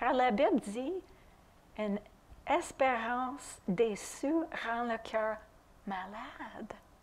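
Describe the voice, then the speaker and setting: A woman with a non-native accent talks at a very slow pace. Her pitch is fairly high, with ordinary variation. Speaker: preacher. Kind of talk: sermon. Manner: halting at times.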